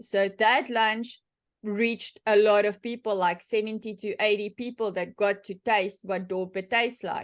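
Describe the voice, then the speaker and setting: The speaker uses a monotone, flat intonation with a South African accent. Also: woman, fairly high pitch for a woman, moderate pace. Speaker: sheep and cattle farmer. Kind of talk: workshop talk, Q&A answer. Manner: casual, many fillers and restarts.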